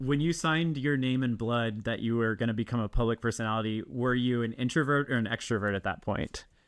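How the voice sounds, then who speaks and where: Talking at a very fast pace with hardly any pauses, a man keeps a medium pitch, very even loudness and ordinary pitch variation. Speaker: podcast host. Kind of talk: casual interview chat. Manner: hesitant, many fillers like and um.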